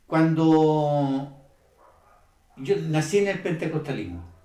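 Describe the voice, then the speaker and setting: A man's fairly high-pitched voice with a dark, mellow tone and audible room echo. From Chile. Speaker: church member giving testimony. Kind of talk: testimony. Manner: halting, with many fillers.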